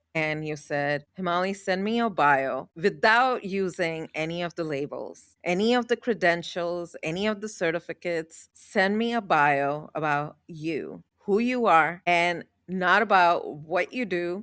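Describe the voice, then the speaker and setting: On a very clean recording with a silent background, a woman with a fairly low pitch and ordinary pitch variation talks at a fairly slow pace with hardly any pauses. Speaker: podcast co-host. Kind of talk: casual conversation. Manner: loud.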